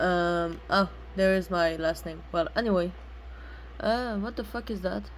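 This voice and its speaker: A woman in a French accent, fairly slow, with long, frequent pauses. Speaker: gaming streamer. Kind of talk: gameplay commentary. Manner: halting, many fillers.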